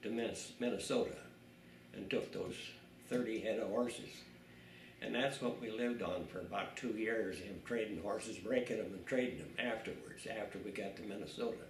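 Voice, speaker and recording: A man with an American accent, medium pitch, fairly even intonation and long, frequent pauses, against noticeable background noise. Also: moderate pace. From South Dakota, USA. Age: 80s+. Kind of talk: interview answer. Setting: home. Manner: casual, rambling storytelling.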